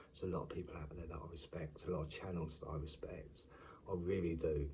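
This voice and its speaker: A quiet man with a British accent speaks at a moderate pace in a very deep, low, somewhat breathy voice of dark, mellow tone. His intonation is monotone and flat, and audible room echo surrounds him. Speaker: YouTube commentator. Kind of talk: casual vlog monologue. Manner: halting.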